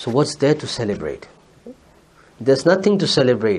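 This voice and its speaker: Fairly high pitch from a man with a Pakistani accent. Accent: South Asian (Urdu) English. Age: 40s. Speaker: Islamic scholar, preacher. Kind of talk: sermon.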